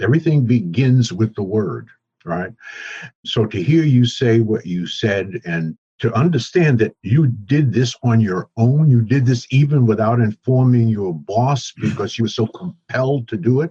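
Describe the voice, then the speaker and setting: Breathing somewhat breathily, a man with an American accent speaks in a dark, mellow tone at a moderate pace, medium in pitch and lively in intonation. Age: 70s. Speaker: author and entrepreneur. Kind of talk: interview conversation.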